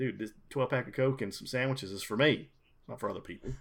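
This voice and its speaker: A man speaks at a fairly quick pace with an American accent and lively intonation. He has a plain, everyday voice. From US South, South Carolina. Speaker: gamer, liquor sales rep. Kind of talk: casual chat.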